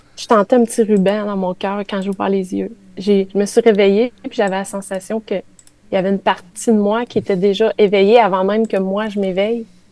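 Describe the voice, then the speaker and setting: A woman speaks at medium pitch with a dark, mellow tone, in a monotone, flat delivery at a moderate pace. The sound is dry and close, with no echo. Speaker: spiritual columnist. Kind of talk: radio chronicle on spirituality. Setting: radio studio with live chat.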